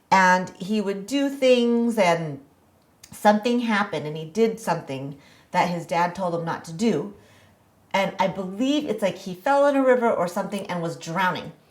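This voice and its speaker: Lively in intonation, a woman with an American accent speaks at a medium pitch and a moderate pace. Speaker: podcast guest. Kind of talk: interview conversation. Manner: hesitant, many fillers.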